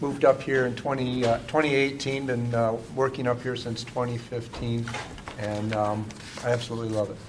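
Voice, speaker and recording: Amid noticeable background noise and audible room echo, a man of medium pitch with an American accent talks at a fairly quick pace in a monotone, flat intonation. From Illinois. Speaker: corporate executive, panelist. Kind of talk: panel discussion.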